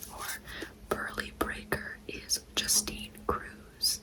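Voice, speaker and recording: Whispered female speech against noticeable background noise. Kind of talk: ASMR pack-opening talk to camera. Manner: soft-spoken, whispered.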